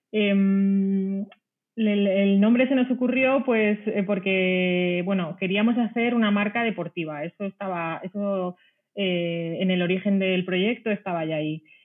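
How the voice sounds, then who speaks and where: A woman's pitch varies in an ordinary way as she speaks very slowly. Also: medium pitch for a woman. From Spain, Ciudad Real (Castilla-La Mancha). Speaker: sustainable sportswear brand founder, former journalist. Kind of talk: interview conversation.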